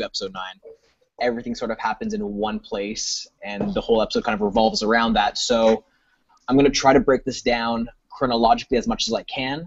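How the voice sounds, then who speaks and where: The speaker is a man with lively intonation. He talks fairly quickly. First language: French. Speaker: video reviewer. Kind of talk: panel discussion.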